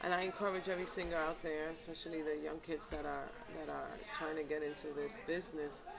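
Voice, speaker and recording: Over noticeable background noise and audible room echo, a woman with a very deep, low voice speaks very fast with fairly even intonation. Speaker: salsa singer and actress. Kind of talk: interview.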